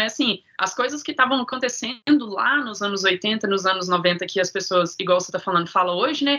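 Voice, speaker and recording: At a moderate pace, a woman speaks with lively intonation in a plain, everyday voice. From Minas Gerais, Brazil. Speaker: sound therapist guest. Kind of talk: casual interview, life story.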